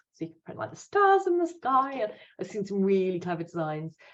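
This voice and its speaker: A woman talks at a fairly quick pace. She has an English accent. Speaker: promotional products supplier. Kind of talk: business presentation. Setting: video call. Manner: fast.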